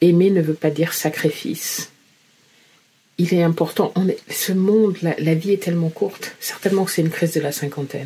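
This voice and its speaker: A woman's unremarkable speaking voice, fairly low in pitch, at a moderate pace. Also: ordinary pitch variation. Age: 50s. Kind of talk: personal testimony to camera.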